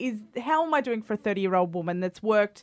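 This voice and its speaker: In an Australian accent, a woman with a fairly high pitch talks with lively intonation on a very clean recording with a silent background. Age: 30s. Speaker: podcast host. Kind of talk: scripted intro; casual interview.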